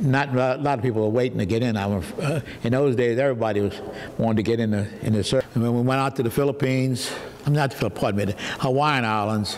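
The man's delivery is very fast. His pitch shifts in an ordinary manner. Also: very even loudness. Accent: New Orleans. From US South, New Orleans; Louisiana. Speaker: war veteran. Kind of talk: testimony. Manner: halting. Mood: reminiscing, hesitant. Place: home room. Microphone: lapel.

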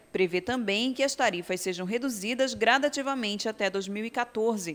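Here a woman speaks in an unremarkable speaking voice at a fairly high pitch. Her intonation is lively and her pace moderate. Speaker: TV news reporter. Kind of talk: news reading. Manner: formal.

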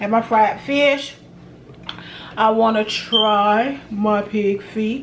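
Noticeable background noise runs under a woman speaking very slowly with an American accent. She leaves long, frequent pauses. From US South. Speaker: cooking video creator. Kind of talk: casual cooking vlog. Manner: animated. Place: home room. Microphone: phone near.

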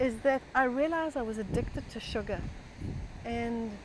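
A woman's high voice, dry with no echo, against noticeable background noise. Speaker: health author and speaker sharing her personal story. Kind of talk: personal story talk. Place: garden. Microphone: phone near.

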